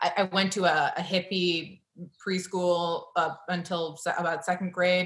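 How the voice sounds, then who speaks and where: Fairly low in pitch, a woman speaks at a fairly slow pace. Her intonation is monotone and flat. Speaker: novelist and editor. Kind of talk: author reading and conversation. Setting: video call.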